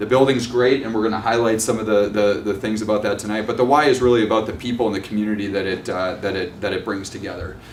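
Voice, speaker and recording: A man with a Minnesotan accent, fairly low pitch and fairly even intonation at a very fast pace with hardly any pauses, with audible room echo and noticeable background noise. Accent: Minnesota. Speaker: nonprofit executive director. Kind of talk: presentation at community meeting. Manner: halting, many fillers.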